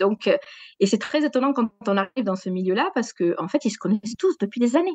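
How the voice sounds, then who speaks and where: A woman in a southwestern French accent, very wide pitch swings, a fairly quick pace, and dry, close sound with no echo. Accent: southwest French. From southwest France, Gers. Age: 40s. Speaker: sports journalist. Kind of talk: podcast interview. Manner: hesitant, many fillers.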